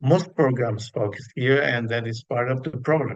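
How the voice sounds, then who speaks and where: With a Spanish accent, a man talks at a fairly slow pace, his pitch varying in an ordinary way. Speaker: psychologist, panel speaker. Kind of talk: panel discussion talk from notes. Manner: halting, many fillers.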